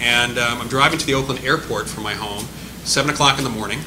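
A man at a very fast pace with ordinary pitch variation, over noticeable background noise. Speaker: speaker. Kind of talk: panel answer, anecdote. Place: meeting room. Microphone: podium.

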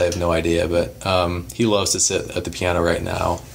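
In an American accent, a man speaks with a very deep, low pitch over light background noise. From Nebraska, small town near Omaha. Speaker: startup co-founder; interviewee. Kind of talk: casual interview. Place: home room.

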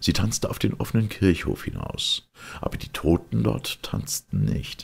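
This man's low voice has a husky, rough edge and vocal fry, swinging widely in pitch at a fairly slow pace.

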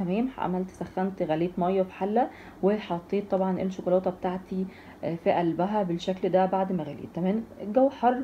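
A woman speaks with a dark, mellow tone that is somewhat breathy. Her pitch variation is ordinary, and there is light background noise. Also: moderate pace. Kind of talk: tutorial. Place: kitchen. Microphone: phone near.

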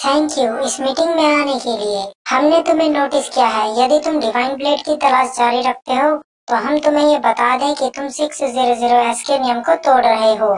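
In a cartoonish character voice, a female-sounding voice at high pitch keeps a moderate pace with hardly any pauses. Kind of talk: anime fan dub. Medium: fan dub. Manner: formal, stern, authoritative.

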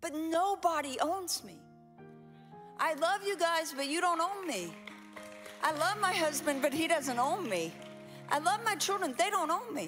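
With clear music in the background, a woman with an extremely high pitch and an energetic tone speaks fairly slowly, with lively intonation and long, frequent pauses. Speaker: pastor, preacher. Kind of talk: sermon, preaching to a congregation. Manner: energetic, emphatic, interactive with the audience. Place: church. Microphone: handheld.

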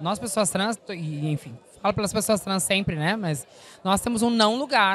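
A woman talks at a moderate pace and medium pitch. The sound is dry with no echo, with light background noise. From southern Brazil, interior of Rio Grande do Sul. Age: 40s. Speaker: actress and singer; actress. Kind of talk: press interview. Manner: animated. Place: hall. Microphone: handheld.

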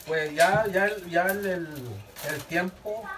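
Noticeable background noise accompanies a man who speaks at a fairly slow pace and a high pitch. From northern Mexico, Sabinas; northern Mexico. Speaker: reed basket weaver. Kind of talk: casual interview, demonstrating craft. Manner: halting. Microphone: phone near.

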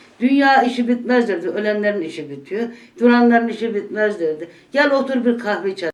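Music plays in the background as a woman speaks at a fairly quick pace. Her pitch is fairly high and her intonation lively. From Gümüşhane, northeastern Turkey. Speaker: former domestic worker. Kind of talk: oral history interview answer.

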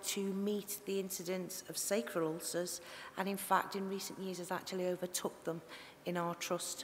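A woman with a Liverpool accent speaks over light background noise. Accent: Liverpool (Scouse). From Liverpool area. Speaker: tissue viability nurse giving a conference presentation. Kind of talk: conference presentation. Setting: conference talk. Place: hall. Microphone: headset.

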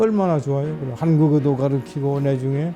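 This man's fairly slow speech plays out with music in the background. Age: 80s+. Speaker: retired pastor. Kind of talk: interview answer.

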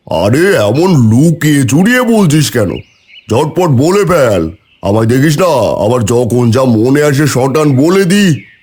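In a cartoonish character voice, a man speaks at a fairly high pitch and moderate pace, with lively intonation and very even loudness. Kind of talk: cartoon dub acting. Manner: loud, familiar, patronizing.

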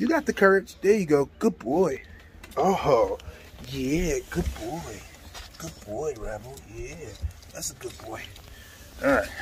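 A man at a very slow pace with long, frequent pauses and big swings in loudness, over light background noise. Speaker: dog breeder vlogger. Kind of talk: casual vlog chat.

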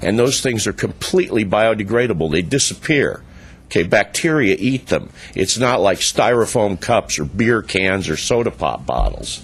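In an ordinary speaking voice, a man with a medium pitch talks at a moderate pace with very even loudness. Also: lively intonation. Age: 60s. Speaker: public commenter at council meeting. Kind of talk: public comment speech.

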